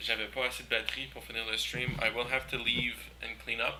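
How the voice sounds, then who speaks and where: A man talks at a moderate speed while noticeable background noise carries on behind him. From Quebec. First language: French. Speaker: artist streamer. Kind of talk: casual live stream chat while painting. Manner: switches between French and English.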